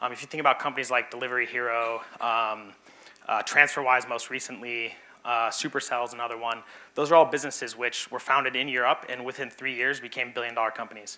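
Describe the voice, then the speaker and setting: A man's very fast, monotone delivery at medium pitch, with an American accent. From US, Arizona. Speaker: venture capital investor. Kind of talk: pitch presentation. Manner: hesitant with fillers.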